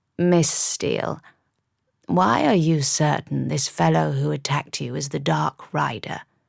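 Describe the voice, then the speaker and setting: Calm in tone, a gruff, low-pitched put-on character voice speaks at a moderate pace. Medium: read story. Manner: calm, edged with steel.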